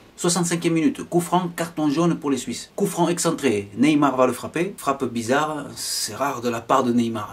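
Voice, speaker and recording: A man with lively intonation. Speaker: football commentator vlogger. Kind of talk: sports commentary. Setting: voiceover on match footage. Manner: excitable, animated play-by-play with chatty asides; casual, opinionated fan-style banter. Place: home room.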